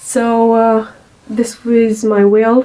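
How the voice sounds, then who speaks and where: A woman with a non-native accent speaks at a fairly high pitch. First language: not English. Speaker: crafts video maker. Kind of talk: tutorial. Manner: halting, many fillers.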